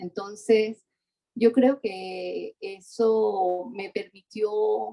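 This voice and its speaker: A woman with a Latin American accent, fairly high pitch, lively intonation and a dark, mellow tone. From Venezuela (Mérida, Andes). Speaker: architecture historian, professor. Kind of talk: interview conversation. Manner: halting, many restarts and fillers.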